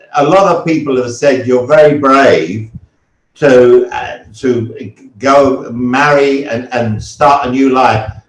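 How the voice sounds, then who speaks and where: Speaking at a very slow pace in a British accent, a man with a fairly high pitch shows ordinary pitch variation. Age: 70s. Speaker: retiree who moved abroad. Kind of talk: interview storytelling.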